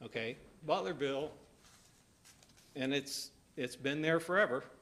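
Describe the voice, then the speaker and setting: Speaking with an American accent, a man uses a fairly high pitch with ordinary variation at a moderate pace. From southwest Ohio. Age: 60s. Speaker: resident commenting at public hearing. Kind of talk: public comment at county meeting. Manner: halting.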